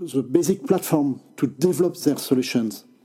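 A man speaks with a French accent. His pitch sits fairly high. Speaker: tech journalist. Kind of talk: interview. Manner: halting.

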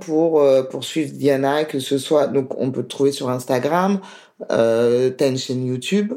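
Speaking very slowly with a strong French accent, a woman has a dark, mellow tone and lively intonation. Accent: strong French accent in other languages. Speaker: podcast host. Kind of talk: interview; scripted outro.

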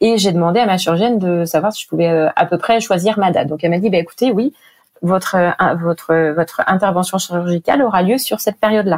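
Recorded dry and close with no echo, a woman talks at a fairly quick pace with a medium pitch and ordinary pitch variation. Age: 40s. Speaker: breast cancer survivor and charity project officer. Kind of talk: personal testimony interview. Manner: hesitant, many fillers.

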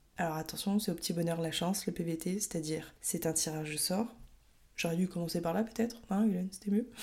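A somewhat breathy woman with a fairly low pitch, a dark, mellow tone, fairly even intonation, and a fairly quick pace. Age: 20s. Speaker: podcast host. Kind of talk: solo podcast monologue. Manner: casual, some hesitations.

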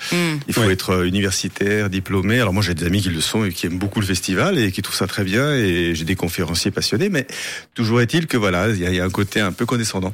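The speech runs at a very fast pace with ordinary pitch variation. The recording is very clean, and the background is silent. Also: man, fairly low pitch for a man. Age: 50s. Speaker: festival founder, fencing master and stuntman. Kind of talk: radio interview. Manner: hesitant, many fillers and repetitions.

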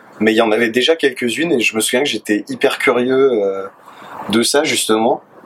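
At a moderate pace, a man speaks with a medium pitch and ordinary pitch variation against noticeable background noise. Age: 20s. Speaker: dating app user sharing experiences. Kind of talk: casual chat.

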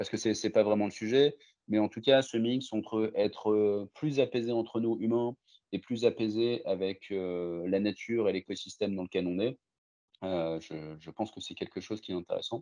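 In a plain, everyday voice, a man speaks at a moderate pace with medium pitch and ordinary pitch variation. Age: 40s. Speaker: digital transformation consultant. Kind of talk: interview.

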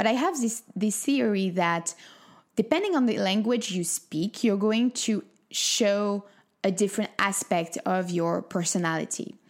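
In a French accent, a woman speaks at a fairly slow pace and medium pitch, with ordinary pitch variation. Her loudness is very even, and the recording is very clean with a silent background. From France. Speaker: wellness coach and podcast host. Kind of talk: solo podcast monologue.

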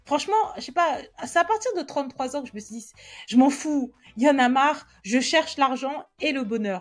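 With music in the background, the voice moves at a moderate pace with lively intonation and big swings in loudness. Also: woman, high pitch for a woman. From Cameroon, then France from age 8. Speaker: podcast host, personal finance coach. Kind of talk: personal monologue, introspective. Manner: casual, many hesitations.

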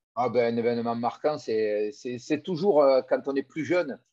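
A man's medium-pitched voice with a dark, mellow tone and ordinary pitch variation against a quiet background. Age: 50s. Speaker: former rugby player turned business coach. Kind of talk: interview. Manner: halting, with many repeated words.

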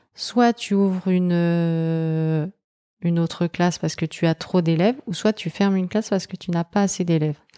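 At a fairly slow pace, a woman talks in a dark, mellow tone with a fairly low pitch and ordinary pitch variation, the sound dry and close with no echo on a very clean recording with a silent background. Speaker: primary school teacher. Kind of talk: casual interview chat.

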